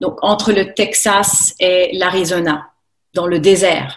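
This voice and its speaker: Here a woman talks very slowly. Her pitch sits in the medium range. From France, Haute-Savoie near Thonon-les-Bains. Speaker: French teacher. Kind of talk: casual interview. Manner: hesitant, many fillers.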